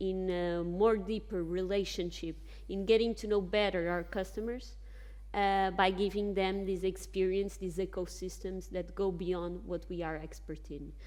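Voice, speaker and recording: The woman speaks at a fairly slow pace. Audible room echo fills the recording. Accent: Portuguese. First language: Portuguese. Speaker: bank executive on a panel. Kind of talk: panel discussion. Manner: halting with fillers and self-corrections.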